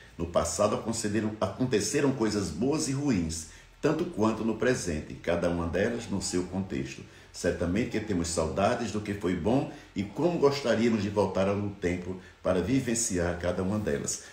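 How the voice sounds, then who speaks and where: At a moderate pace, a man with a fairly low pitch speaks with lively intonation, and audible room echo surrounds his voice. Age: 60s. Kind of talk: reflective monologue. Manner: halting.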